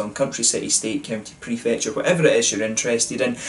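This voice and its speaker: Speaking at a very fast pace, a man keeps ordinary pitch variation. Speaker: beer reviewer. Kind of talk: casual vlog chat. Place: home room. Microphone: camera far.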